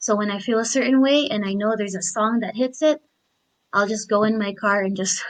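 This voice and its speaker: A woman with a non-native accent, fairly high pitch, ordinary pitch variation and a moderate pace. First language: not English. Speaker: discussion participant. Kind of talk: casual group discussion.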